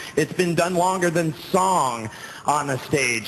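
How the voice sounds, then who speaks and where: Amid noticeable background noise, a man talks at a fairly slow pace with ordinary pitch variation. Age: young. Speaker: sword swallower. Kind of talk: live stage patter to audience. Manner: joking.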